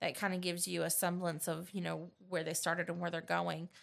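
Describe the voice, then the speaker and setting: A woman speaks at a fairly quick pace with vocal fry. The recording is very clean, with a silent background. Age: 30s. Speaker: teacher and podcast host. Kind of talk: casual chat. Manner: animated.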